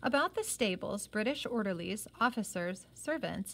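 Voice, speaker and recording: Her intonation is lively. The woman moves at a moderate pace. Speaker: reader of a novel, teacher-like. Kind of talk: reading aloud a novel with comments. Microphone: phone near.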